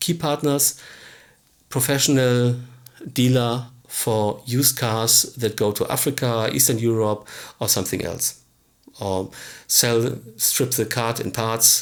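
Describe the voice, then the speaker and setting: A man's very slow delivery with long, frequent pauses and ordinary pitch variation, on a very clean recording with a silent background. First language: not English. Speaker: business coach / tutorial presenter. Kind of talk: tutorial. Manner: halting, with fillers.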